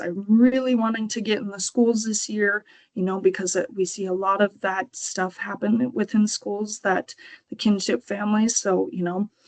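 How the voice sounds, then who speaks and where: A woman at medium pitch has a plain, everyday voice and a moderate pace with fairly even intonation. The sound is dry and close with no echo. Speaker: kinship program coordinator. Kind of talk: presentation.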